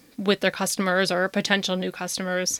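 A woman with a Chicago accent, medium pitch, a bright, sharp tone and a very fast pace, in a very clean recording with a silent background. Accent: Chicago American English. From US Midwest, Chicago western suburbs. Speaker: podcast host. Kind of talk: casual monologue.

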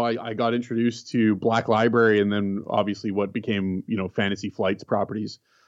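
A man with a Canadian accent speaks fairly quickly. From Canada. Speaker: gaming industry executive. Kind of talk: interview. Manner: halting.

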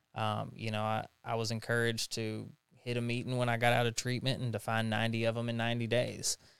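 Very fast, flat, monotone speech from a man with a Tennessee accent at a medium pitch, on a very clean recording with a silent background. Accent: Southern US (Tennessee). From US South, Jackson, Tennessee. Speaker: person in recovery from addiction. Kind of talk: interview testimony. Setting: studio.

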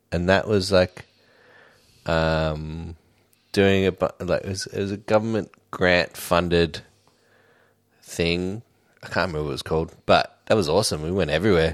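Speaking at a moderate pace with long, frequent pauses, a man with an Australian accent uses a very deep, low voice and fairly even intonation on a very clean recording with a silent background. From Australia, Sydney (Homebush). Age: 30s. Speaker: drummer. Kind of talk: casual chat.

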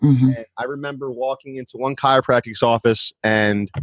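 A man with an American accent talks at a moderate pace in a plain, everyday voice, with ordinary pitch variation and a dry, close sound with no echo against a quiet background. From New Jersey. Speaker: chiropractor. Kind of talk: interview testimony.

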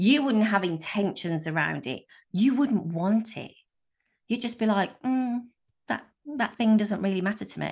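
With a somewhat breathy, animated and excited tone, a woman talks at a moderate pace with lively intonation and long, frequent pauses against a quiet background. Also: medium pitch for a woman. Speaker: business coach and podcast host. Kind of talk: solo motivational podcast monologue. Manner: animated, excited.

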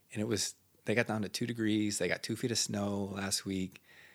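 On a very clean recording with a silent background, a man with an Upper Midwest accent speaks at a fairly low pitch. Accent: Upper Midwest (Minnesota). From northern Minnesota, Iron Range; later Minneapolis-Saint Paul. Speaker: local missionary. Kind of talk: casual chat.

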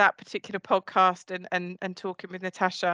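Over a quiet background, a woman with an Essex accent speaks at a fairly quick pace and medium pitch, the sound dry and close with no echo. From Essex, England. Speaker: podcast host. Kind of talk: casual chat.

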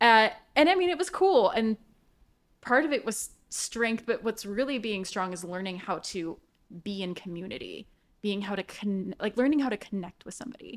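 Her unremarkable speaking voice sits at a fairly high pitch, and this woman talks at a moderate pace with lively intonation and big swings in loudness. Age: 30s. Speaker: writer and marketing specialist. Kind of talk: casual chat.

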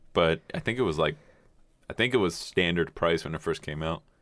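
A man speaks with a very deep, low pitch and ordinary pitch variation. His pace is moderate. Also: long, frequent pauses. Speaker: podcast guest and intern. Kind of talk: casual chat. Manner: profane, joking.

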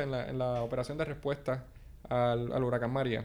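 A man at a moderate pace, a normal speaking voice. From Puerto Rico. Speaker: graduate student. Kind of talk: casual interview chat.

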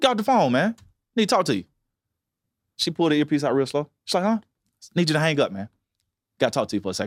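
Recorded dry and close with no echo against a silent, very clean background, a man speaks at a very fast pace with very wide pitch swings and long, frequent pauses. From Alabama, Montgomery. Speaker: content creator. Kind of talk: casual chat. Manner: animated storytelling.

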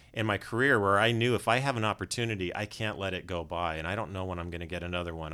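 With a Californian accent, a man with a very deep, low pitch talks at a very fast pace with ordinary pitch variation in a very clean recording with a silent background. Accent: General American (Californian). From US West, Los Angeles. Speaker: animation director. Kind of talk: interview. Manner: clear and polished.

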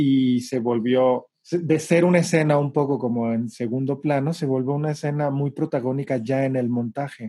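A man's fairly high voice, dark and mellow in tone, with ordinary pitch variation. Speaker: theatre director. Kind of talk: interview. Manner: halting.

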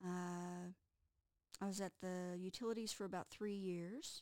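A woman speaks in a Texas accent. Her intonation is fairly even. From Texas (Amarillo). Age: 50s. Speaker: college instructor. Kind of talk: interview.

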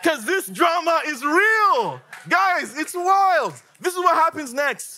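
A man speaks in a raised, projected voice with a bright, sharp, animated tone. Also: very clean recording, silent background. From Africa. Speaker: guest preacher. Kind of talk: sermon.

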